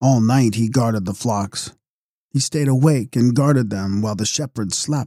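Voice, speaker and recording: At a moderate pace, a man speaks in a solemn, dramatic tone that is dark and mellow, with a medium pitch and ordinary pitch variation. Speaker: audiobook narrator. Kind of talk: mythic epic audiobook reading, solemn scripted narration. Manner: solemn, measured, dramatic storytelling.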